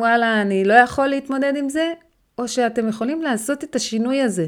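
A woman with an unremarkable speaking voice and fairly high pitch, her pitch varying in an ordinary way. The recording is very clean, with a silent background. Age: 30s. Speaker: weight-loss and healthy lifestyle mentor. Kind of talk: motivational podcast monologue.

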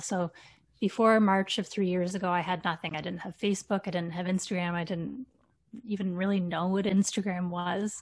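A woman with a Canadian accent, a normal speaking voice, medium pitch and fairly even intonation, against a quiet background. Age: 40s. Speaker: teacher and fitness content creator. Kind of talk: casual interview.

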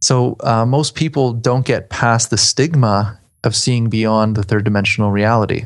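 A man with a plain, everyday voice speaks at a moderate pace with fairly even intonation and very even loudness over a quiet background. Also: medium pitch for a man. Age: 30s. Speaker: astral traveler. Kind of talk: interview.

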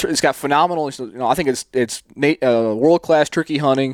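Speaking fairly quickly in a normal speaking voice, a man with an American accent keeps a medium pitch and ordinary pitch variation. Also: dry, close sound with no echo. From US East. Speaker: hunting podcast host. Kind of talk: casual interview chat. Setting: video call.

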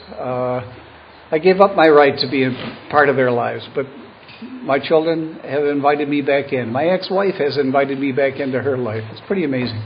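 A man talks fairly quickly in an American accent while noticeable background noise carries on. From Buffalo, New York. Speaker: retired lawyer, AA speaker. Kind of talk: recovery talk / testimony.

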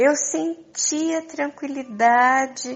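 The woman's voice sits high in pitch. She talks very slowly. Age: 60s. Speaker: spiritual teacher. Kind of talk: monologue to followers.

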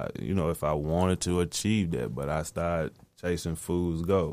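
Moderate-paced speech from a man, very deep and low in pitch, with ordinary pitch variation. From US South, Tennessee. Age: 40s. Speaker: musician. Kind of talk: casual interview. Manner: laid-back.

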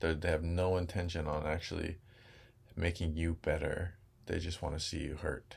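Calm and somewhat breathy, a man speaks at a moderate pace with a very deep, low pitch and monotone, flat intonation. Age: 20s. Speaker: Hawaiian language teacher. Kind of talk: casual interview.

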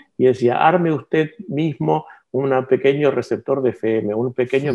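With lively intonation and a medium pitch, a man uses a normal speaking voice at a moderate pace. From Argentina (La Plata), born in Barcelona. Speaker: publisher and engineer. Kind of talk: interview.

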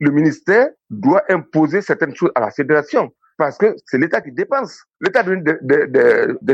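This man's intonation is lively, and he speaks at a moderate speed. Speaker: sports consultant. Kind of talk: radio interview. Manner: animated.

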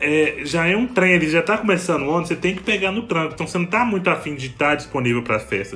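The man's tone is animated. His pitch is high, with ordinary pitch variation. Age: 20s. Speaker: podcast host. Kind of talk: casual chat.

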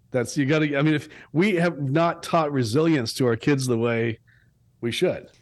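Speaking at a moderate pace in a plain, everyday voice, a man with a fairly high pitch keeps very even loudness and ordinary pitch variation over a quiet background. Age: 50s. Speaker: bereaved father and suicide prevention advocate. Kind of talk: interview conversation. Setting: video call.

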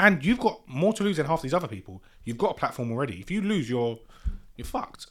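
Very fast and full of very wide pitch swings, a man's fairly high voice carries vocal fry. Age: 20s. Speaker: podcast host. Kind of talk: casual chat. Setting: studio.

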